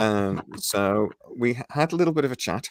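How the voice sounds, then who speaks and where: A man speaks quietly with a British accent and ordinary pitch variation. The recording is very clean, with a silent background. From Britain. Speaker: YouTube channel host. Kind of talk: casual chat. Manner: quiet, keeping voice down.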